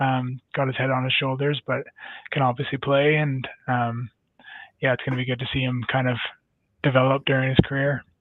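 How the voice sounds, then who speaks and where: Canadian accent from a man talking at a fairly quick pace. His intonation stays monotone and flat. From Canada. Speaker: ice hockey player. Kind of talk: casual chat.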